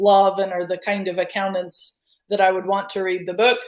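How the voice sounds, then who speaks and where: This is a woman speaking with an American accent. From United States. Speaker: marketing agency founder. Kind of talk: interview.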